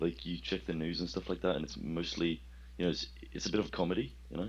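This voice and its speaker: A man speaks with a very deep, low pitch and vocal fry. His pace is very fast. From Sweden. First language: Swedish. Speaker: caller. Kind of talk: casual chat.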